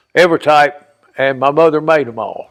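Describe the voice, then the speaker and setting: A man speaks in a Southern US accent at a fairly high pitch. The recording is very clean, with a silent background. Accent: Southern US rural. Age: 70s. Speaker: interviewee telling life story. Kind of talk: oral history interview. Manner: casual storytelling.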